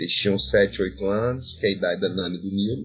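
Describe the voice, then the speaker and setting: A man speaks with a plain, everyday voice at a fairly low pitch. His pace is fairly quick and his intonation fairly even. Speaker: philosophy professor. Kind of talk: interview. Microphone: poor recording quality.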